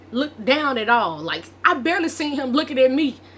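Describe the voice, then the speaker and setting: Lively intonation marks this woman's speech. She talks at a fairly quick pace over noticeable background noise. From Arkansas. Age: 20s. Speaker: vlogger. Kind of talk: casual storytelling vlog.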